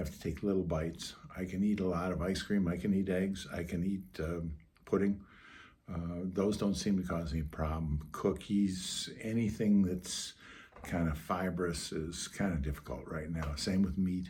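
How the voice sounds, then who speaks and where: Here a man speaks at a moderate pace in a very deep, low pitch. His voice is somewhat breathy, with fairly even intonation. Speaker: vlogger recounting surgery recovery. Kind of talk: personal vlog monologue. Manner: hesitant, many fillers; soft-spoken.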